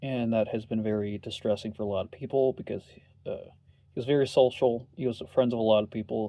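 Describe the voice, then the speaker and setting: The voice has a dark, mellow tone. It moves at a moderate pace with monotone, flat intonation. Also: man. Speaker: online content creator. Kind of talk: video monologue. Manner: halting, repeats words.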